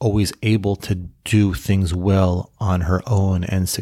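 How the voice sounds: A natural reading voice carries the passage.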